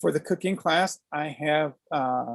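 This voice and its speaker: Speaking at a very slow pace, a man with a fairly high pitch and ordinary pitch variation is heard in a dry, close sound with no echo. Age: 60s. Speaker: aikido teacher. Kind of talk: interview.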